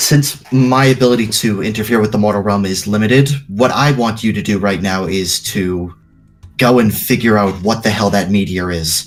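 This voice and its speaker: Using a put-on character voice, a man talks at a moderate pace and fairly low pitch. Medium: actual play.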